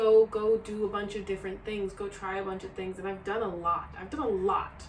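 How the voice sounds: A woman speaks at a medium pitch. Audible room echo surrounds her voice.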